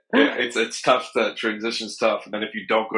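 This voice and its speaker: This man speaks with an American accent. His pace is fairly quick. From US. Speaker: podcast host. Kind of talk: podcast interview.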